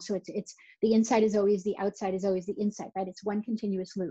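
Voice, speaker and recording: A woman talks with a Boston accent. Her tone is dark and mellow, and somewhat breathy. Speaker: neonatal nurse practitioner, speaker. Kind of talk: recorded conference talk. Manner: conversational, with repetitions.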